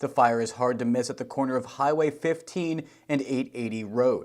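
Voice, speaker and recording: With a plain, everyday voice, a man talks at a fairly quick pace, using a medium pitch and ordinary pitch variation. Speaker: TV news reporter. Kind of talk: TV news report.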